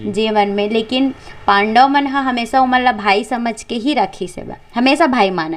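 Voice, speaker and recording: Fairly high in pitch, a woman with a plain, everyday voice shows ordinary pitch variation. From Chhattisgarh. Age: 20s. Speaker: folk singer and storyteller. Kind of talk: interview answer.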